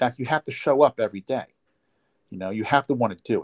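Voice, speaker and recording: This New Jersey accent comes through in a dry, close sound with no echo, on a very clean recording with a silent background. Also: man. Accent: New Jersey American. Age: 50s. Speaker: chiropractor. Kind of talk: interview. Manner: halting.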